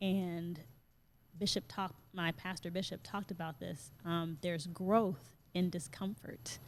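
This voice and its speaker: A woman with a fairly low pitch sounds somewhat breathy. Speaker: yoga teacher and wellness coach. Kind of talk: interview.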